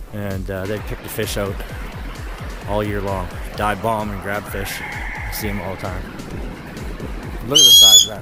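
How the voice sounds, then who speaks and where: A man talks at a moderate pace, leaving long, frequent pauses. Music plays behind him, and the sound is dry with no echo. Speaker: hiker vlogger. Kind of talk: casual vlog chat. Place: open country. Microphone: phone near.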